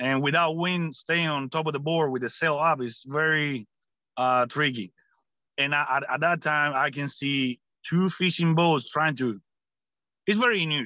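With a Cuban accent, a man speaks using ordinary pitch variation. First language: Spanish. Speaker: Cuban-born US army veteran and political commentator. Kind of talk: interview conversation.

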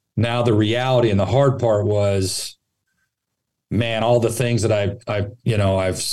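A man with an American accent speaks at medium pitch in a dark, mellow tone with fairly even intonation. His moderate pace comes with audible room echo. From Northern California (Sacramento). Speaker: college baseball coach turned athletic director. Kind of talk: casual interview.

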